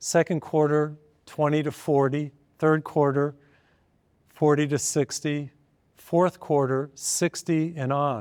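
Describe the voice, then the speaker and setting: On a very clean recording with a silent background, a man talks very slowly with fairly even intonation and long, frequent pauses in a dry, close sound with no echo. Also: fairly high pitch for a man. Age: 60s. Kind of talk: televised sermon-style talk. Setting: filmed program.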